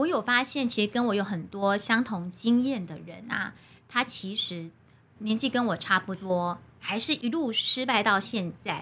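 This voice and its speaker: In a Taiwanese accent, a woman with a fairly high pitch speaks at a fairly slow pace in a bright, sharp tone with ordinary pitch variation. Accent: Taiwanese Mandarin. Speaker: primary school teacher and recitation coach. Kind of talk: casual interview chat. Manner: steady, even delivery.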